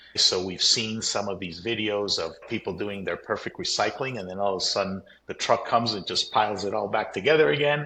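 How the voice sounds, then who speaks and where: A man with an American accent speaks at a fairly quick pace, hardly pausing, over a quiet background. His voice is fairly low in pitch with ordinary variation and a bright, sharp tone. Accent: sounds American. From Colombia. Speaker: company CEO. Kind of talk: interview.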